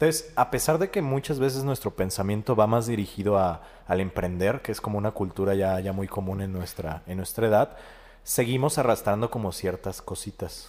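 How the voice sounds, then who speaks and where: A man has an unremarkable speaking voice with a fairly low pitch. He talks at a moderate pace with ordinary pitch variation. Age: 20s. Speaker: podcast host and psychologist. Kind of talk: casual interview chat.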